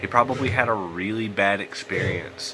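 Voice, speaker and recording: A man's fairly low-pitched voice over music in the background. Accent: Southern US. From US South. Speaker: gaming YouTuber. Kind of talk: let's play commentary. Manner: casual, conversational. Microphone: poor audio quality.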